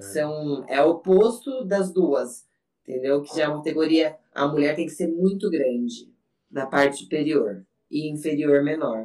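Lively in intonation and with big swings in loudness, a woman speaks at a fairly slow pace in a very deep, low pitch and a dark, mellow tone. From São Paulo interior, Brazil. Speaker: bodybuilding athlete and gym owner. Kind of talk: casual chat.

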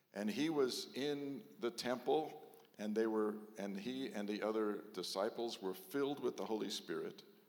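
Amid audible room echo, a man speaks at a very slow pace and a medium pitch with ordinary pitch variation. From Texas. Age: 70s. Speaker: rabbi. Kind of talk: sermon.

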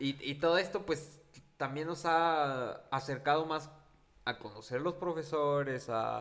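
A plain, everyday voice from a man, fairly high in pitch, with ordinary pitch variation and a fairly slow pace. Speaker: podcast co-host. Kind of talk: casual chat.

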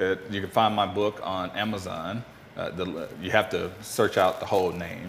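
In a very deep, low pitch, a man speaks at a moderate pace with monotone, flat intonation. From US South (Mississippi, Memphis). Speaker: financial advisor and author. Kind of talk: interview.

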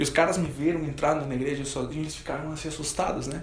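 Very fast and fairly high-pitched, a man talks with fairly even intonation amid noticeable background noise and audible room echo. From Peru. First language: Spanish (speaking Portuguese). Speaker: professional guitarist. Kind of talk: testimony.

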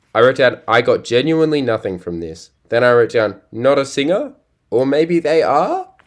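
Against a quiet background, a man with an Australian accent speaks at a moderate pace with lively intonation. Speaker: podcast host. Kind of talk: casual chat.

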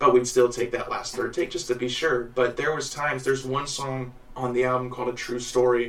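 The voice has an American accent. Noticeable background noise and audible room echo surround it. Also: man. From Illinois and Missouri, US Midwest. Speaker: singer-songwriter. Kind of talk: casual interview.

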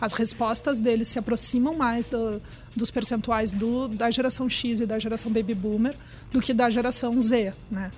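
A woman speaks at a moderate pace in a fairly high, monotone, flat voice while music plays in the background. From Brazil. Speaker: trend research executive. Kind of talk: casual interview. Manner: hesitant, many fillers.

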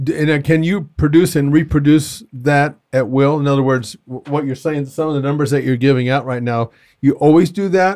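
At a moderate pace with hardly any pauses, a man speaks in a plain, everyday voice at a fairly high pitch with ordinary pitch variation. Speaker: podcast host. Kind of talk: casual interview chat. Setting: in-person studio recording.

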